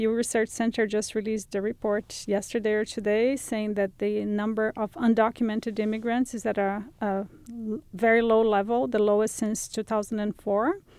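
This woman has a Brazilian accent and a fairly high pitch. She keeps a moderate pace with fairly even intonation. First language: Portuguese. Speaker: journalist and writer. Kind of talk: interview.

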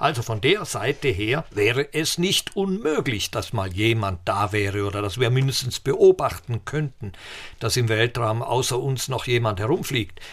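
Lively intonation from a somewhat breathy man. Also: medium pitch for a man, moderate pace. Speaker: physicist and space expert. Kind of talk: interview.

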